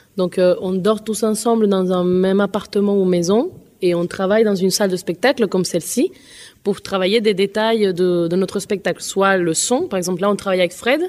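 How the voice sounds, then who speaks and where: A woman at a moderate pace with fairly even intonation, on a very clean recording with a silent background. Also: medium pitch for a woman. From Colombia or Venezuela. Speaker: singer. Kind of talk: interview. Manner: halting.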